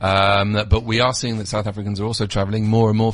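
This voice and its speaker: The speaker is a man with a British accent. He talks at a very fast pace. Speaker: Club Med representative, travel industry guest. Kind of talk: radio interview, promotional chat.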